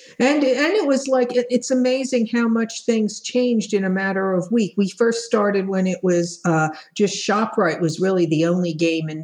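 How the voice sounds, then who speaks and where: Over noticeable background noise, a woman talks at a moderate pace with lively intonation and hardly any pauses. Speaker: vaccine appointment volunteer. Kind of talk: interview.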